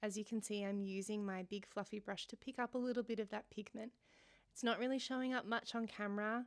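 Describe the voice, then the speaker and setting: The speaker moves at a fairly quick pace with fairly even intonation, in a dry, close sound with no echo. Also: woman. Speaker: watercolour art teacher. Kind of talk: painting tutorial voiceover. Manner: gentle.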